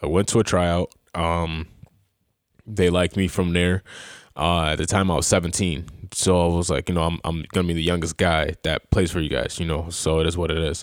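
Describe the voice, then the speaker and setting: In a very clean recording with a silent background and a dry, close sound with no echo, a man with a western New York accent speaks at a fairly quick pace in a very deep, low voice with monotone, flat intonation. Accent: western New York (Inland North) American. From Rochester, New York (Greece). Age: 20s. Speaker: semi-pro football player and team co-owner. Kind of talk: casual chat. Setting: studio.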